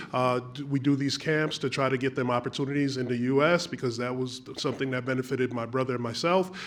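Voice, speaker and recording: Background noise is noticeable throughout. A man speaks at a moderate pace with an American accent. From US, Trinidadian family. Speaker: audience member asking question. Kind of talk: audience question.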